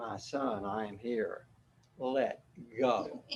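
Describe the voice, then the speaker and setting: Using a booming, put-on character voice, a man speaks at a medium pitch. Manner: calm, reassuring.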